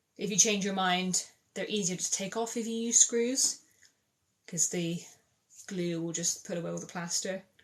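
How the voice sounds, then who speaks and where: With a slight Bristol accent, a woman talks at a moderate pace. Her pitch is medium, with ordinary variation. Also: long, frequent pauses, big swings in loudness. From England, Bristol. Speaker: DIY content creator. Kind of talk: livestream chat answering comments. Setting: TikTok live stream. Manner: casual, chatty.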